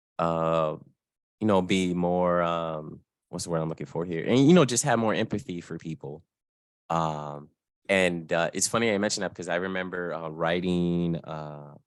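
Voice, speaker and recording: Speaking with an American accent, a man with a very deep, low pitch moves at a moderate pace with ordinary pitch variation, in a very clean recording with a silent background. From Florida. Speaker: gaming journalist. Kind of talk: interview. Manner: halting.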